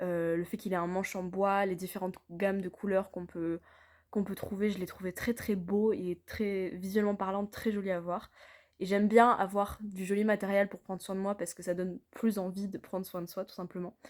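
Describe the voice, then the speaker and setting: A woman speaks at a moderate pace and medium pitch, with monotone, flat intonation. Her loudness swings a lot. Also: very clean recording, silent background. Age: 20s. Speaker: customer giving product testimonial. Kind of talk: testimonial. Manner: hesitant, many fillers.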